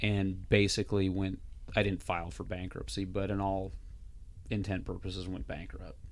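Audible room echo surrounds a man with an American accent who speaks at a moderate pace in a very deep, low pitch. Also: fairly even intonation. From Montana. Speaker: rodeo announcer. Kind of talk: casual chat.

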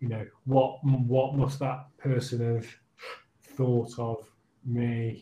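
Medium-pitched and somewhat breathy, a man speaks at a very slow pace. His intonation stays monotone and flat. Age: 40s. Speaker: social work team leader. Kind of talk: casual interview.

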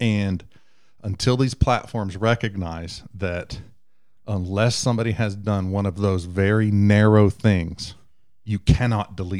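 This man talks with a Southern US accent at a fairly low pitch. The recording is very clean with a silent background, and his pitch varies normally. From Texas. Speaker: IT engineer. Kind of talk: casual chat.

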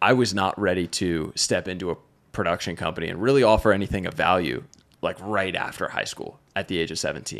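On a very clean recording with a silent background, a man with an American accent speaks at a moderate pace in a very deep, low pitch with ordinary pitch variation. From Pennsylvania. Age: 20s. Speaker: filmmaker and photographer. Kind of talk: casual chat.

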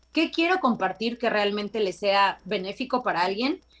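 Speech unfolds at a moderate speed. Its pitch leaps across a very wide range. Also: woman. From Mexico, Veracruz. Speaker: TV correspondent and actress. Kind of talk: casual interview. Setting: remote video call from location.

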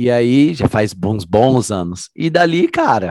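The speech moves at a very slow pace with very wide pitch swings. The sound is dry and close, with no echo. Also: man. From Londrina, Paraná, Brazil. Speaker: group fitness instructor. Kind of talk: casual chat.

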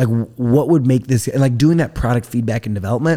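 A man speaks in an American accent with a dark, mellow tone. His intonation is lively. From US Midwest, rural northern Indiana. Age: 20s. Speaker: entrepreneur. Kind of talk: casual interview. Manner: energetic.

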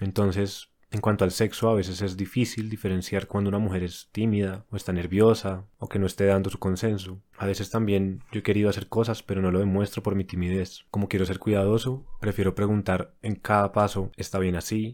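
Speaking at a fairly quick pace with hardly any pauses, a man uses a fairly low, monotone, flat voice on a very clean recording with a silent background. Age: 20s. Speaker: listener writing in with a question. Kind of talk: reading aloud a listener question.

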